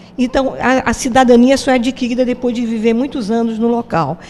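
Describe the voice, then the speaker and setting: Noticeable background noise sits behind this recording. Over it, a woman talks at a moderate pace. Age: 70s. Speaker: interviewee. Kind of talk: interview.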